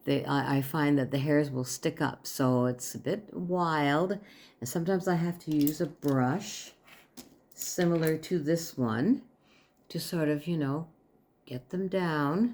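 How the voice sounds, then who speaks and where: Lively intonation marks this woman's speech. Her pitch is very deep and low. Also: very clean recording, silent background. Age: 70s. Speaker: beauty vlogger. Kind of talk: makeup tutorial. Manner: casual, conversational.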